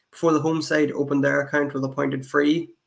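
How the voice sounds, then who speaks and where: A man's fairly high voice holds a monotone, flat intonation. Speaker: podcast host. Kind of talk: club GAA roundup presenting, scripted-sounding match report narration. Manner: brisk, even and factual, reporting scores in a steady flow.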